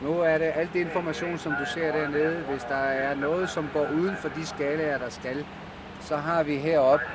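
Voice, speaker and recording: Audible room echo and noticeable background noise surround a man speaking at a fairly slow pace. His pitch is fairly high and his intonation fairly even. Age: 50s. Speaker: airline pilot. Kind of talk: casual conversation while working. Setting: airliner cockpit in flight.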